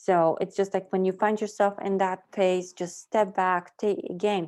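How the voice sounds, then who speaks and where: A plain, everyday voice at a moderate pace, with fairly even intonation and a quiet background. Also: woman. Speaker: tarot reader. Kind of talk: tarot reading.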